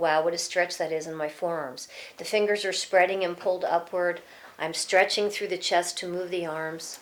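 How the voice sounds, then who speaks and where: A woman with a plain, everyday voice speaks at a moderate pace with a medium pitch. Her intonation is fairly even, on a very clean recording with a silent background. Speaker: yoga teacher. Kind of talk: tutorial.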